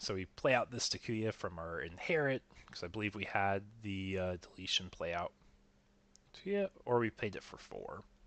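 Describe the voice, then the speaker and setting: Pitched fairly low, a man's voice moves at a moderate pace with ordinary pitch variation. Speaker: streamer and card game commentator. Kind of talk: live commentary. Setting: livestream. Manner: animated.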